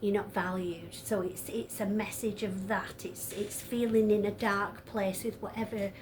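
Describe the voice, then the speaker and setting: A woman speaks in a northern English accent at a fairly slow pace. Her medium-pitched voice is monotone and flat. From northern England. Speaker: tarot reader. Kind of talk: tarot reading monologue. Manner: hesitant, many fillers.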